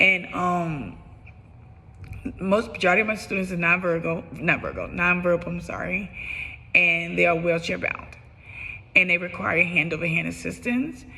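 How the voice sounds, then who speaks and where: Using vocal fry, a woman talks at a moderate pace, broken by long, frequent pauses. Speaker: special education teacher. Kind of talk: self-assessment video monologue. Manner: halting, with fillers and restarts.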